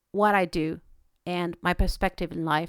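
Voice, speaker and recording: Recorded very cleanly with a silent background and a dry, close sound with no echo, a woman speaks with a Spanish accent and ordinary pitch variation. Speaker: veterinarian podcaster. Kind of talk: podcast monologue. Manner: hesitant, with fillers.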